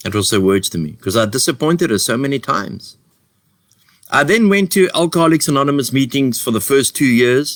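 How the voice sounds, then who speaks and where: Loud and fairly high-pitched, a man talks at a fairly quick pace with very wide pitch swings. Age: 50s. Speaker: addiction recovery organization founder. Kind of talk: recovery testimony. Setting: live online share. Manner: repetitive, halting.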